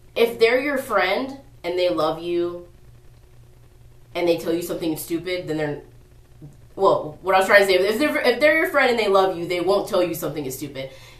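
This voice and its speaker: Amid audible room echo, a woman with medium pitch and lively intonation talks at a fairly quick pace broken by long, frequent pauses. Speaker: vlogger. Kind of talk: casual advice vlog. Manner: rambling, halting; animated.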